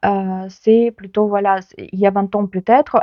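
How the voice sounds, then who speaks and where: A woman with a Ukrainian accent, medium pitch, fairly even intonation and a fairly slow pace. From Ukraine. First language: Ukrainian (speaking French). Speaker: book vlogger. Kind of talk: casual book talk to camera. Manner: hesitant, many fillers.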